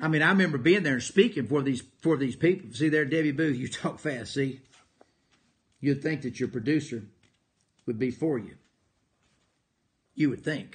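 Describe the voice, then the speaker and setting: A man with a fairly high pitch and ordinary pitch variation talks at a moderate pace. His voice is somewhat breathy, with long, frequent pauses. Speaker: motivational speaker and preacher. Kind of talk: live motivational broadcast.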